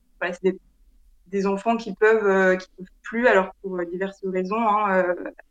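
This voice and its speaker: A woman at a medium pitch and a fairly slow pace. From France, Ain department near Lyon. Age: 20s. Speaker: ultra trail runner, psychomotor therapist. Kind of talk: casual interview. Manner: halting, many hesitations.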